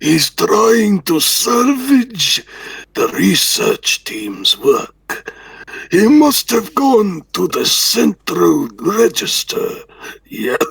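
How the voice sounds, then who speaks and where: A raspy, put-on character voice from a man at a very slow pace. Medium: game stream. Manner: sneering.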